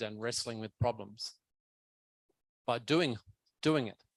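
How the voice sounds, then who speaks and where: A man at medium pitch is captured with a dry, close sound and no echo. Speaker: keynote speaker on education. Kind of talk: conference Q&A answer. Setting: academic conference, hybrid.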